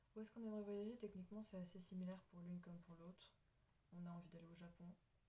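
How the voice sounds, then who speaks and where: A woman at medium pitch talks at a very fast pace in a monotone, flat delivery. Her voice is somewhat breathy, with a dark, mellow tone. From France. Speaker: YouTuber. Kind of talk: casual chat.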